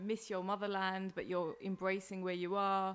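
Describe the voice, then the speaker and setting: A woman speaks with an East London accent at a medium pitch. Her pace is moderate. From East London, England. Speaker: comedian and podcaster. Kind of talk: casual interview chat. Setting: host's kitchen.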